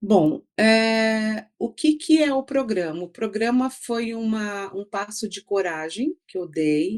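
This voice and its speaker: Delivered at a very slow pace, the speech has lively intonation, big swings in loudness and hardly any pauses. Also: woman, fairly high pitch for a woman. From Brazil, São Paulo city, raised in interior São Paulo. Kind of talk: interview conversation. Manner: halting, many fillers and repetitions.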